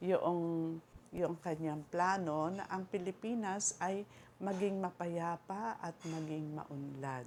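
A very slow pace with ordinary pitch variation. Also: woman, fairly low pitch for a woman. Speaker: vlogger. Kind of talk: casual monologue. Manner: halting.

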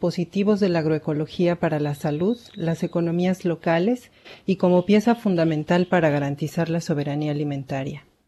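In an ordinary speaking voice, a woman talks at a moderate pace with hardly any pauses, her fairly low pitch showing ordinary pitch variation. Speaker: webinar moderator. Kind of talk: formal introduction. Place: home room. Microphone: webcam.

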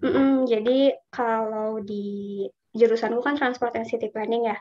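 A woman's fairly high voice at a fairly slow pace, over a quiet background. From Indonesia. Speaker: scholarship alumna, urban planner. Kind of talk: casual webinar talk. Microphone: video call.

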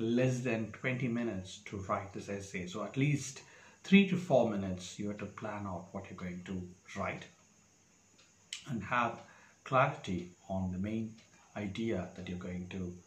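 In a room with audible echo, a man with a fairly low pitch and a somewhat breathy voice speaks at a fairly slow pace, taking long, frequent pauses, his loudness swinging widely while his pitch varies in an ordinary way. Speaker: exam preparation tutor. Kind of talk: tutorial. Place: home room. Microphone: lapel.

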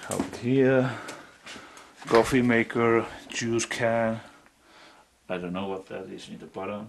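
Over light background noise, a man with a Finnish accent speaks at a very slow pace with fairly even intonation. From Finland. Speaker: urban explorer vlogger. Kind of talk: casual solo vlog narration. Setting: outdoors, exploring abandoned building. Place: home room. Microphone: phone near.

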